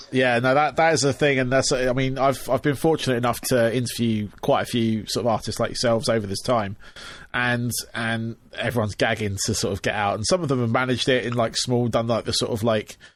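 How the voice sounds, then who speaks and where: The speaker has an English accent and fairly even intonation, talking at a fairly quick pace. The recording is very clean, with a silent background. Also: man, medium pitch for a man. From England. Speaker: podcast host. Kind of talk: casual interview chat. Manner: halting, many fillers.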